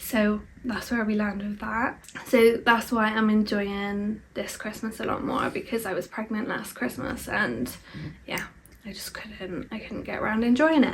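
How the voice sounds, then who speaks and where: Over noticeable background noise, a woman with a fairly high pitch speaks at a fairly slow pace, with ordinary pitch variation and big swings in loudness. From England, Bristol. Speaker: vlogger. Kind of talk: casual chat. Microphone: poor sound quality.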